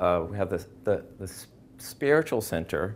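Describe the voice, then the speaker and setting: At a moderate pace, a man with an American accent speaks in a fairly low pitch with lively intonation. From Washington, D.C. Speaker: art student. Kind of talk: artist talk. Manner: halting, many fillers. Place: hall.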